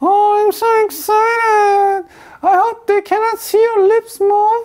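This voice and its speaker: This put-on character voice is squeaky and extremely high-pitched. It moves at a fairly slow pace with monotone, flat intonation. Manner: excited, playful, cute.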